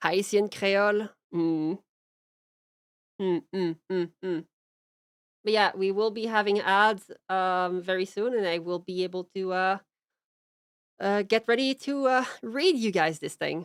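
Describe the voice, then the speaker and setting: In a very clean recording with a silent background and a dry, close sound with no echo, a woman with a Quebec accent speaks fairly slowly at a medium pitch, with ordinary pitch variation and long, frequent pauses. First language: French. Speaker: streamer. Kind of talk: casual chat; reading aloud. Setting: live stream.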